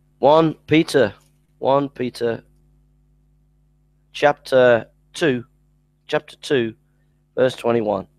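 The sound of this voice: A man at medium pitch with ordinary pitch variation, a very slow pace, long, frequent pauses, and a dry, close sound with no echo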